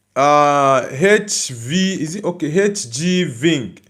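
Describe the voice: A man talks slowly with a fairly high pitch and a fairly bright tone. His intonation is lively.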